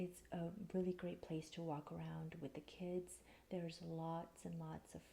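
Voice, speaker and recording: A soft-spoken woman in a calm tone, at a fairly slow pace. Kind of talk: soft spoken ASMR. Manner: soft-spoken, calm.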